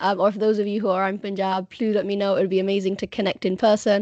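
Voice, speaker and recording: With a British accent, a woman talks at a fairly quick pace and medium pitch. The sound is dry and close, with no echo. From UK. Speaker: Punjabi language teacher. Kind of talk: online presentation. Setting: video call.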